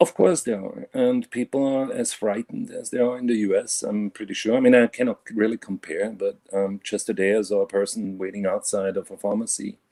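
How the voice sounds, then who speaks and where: Speaking with a German accent, a man moves at a fairly quick pace. He takes hardly any pauses. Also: dry, close sound with no echo. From Germany (Bavaria). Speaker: caller. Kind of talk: casual chat. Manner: halting, many fillers.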